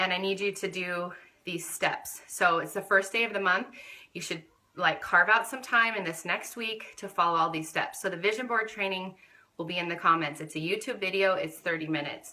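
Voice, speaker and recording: A woman with an ordinary speaking voice talks at a fairly quick pace, her pitch medium and its variation ordinary. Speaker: direct sales consultant. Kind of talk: live video training.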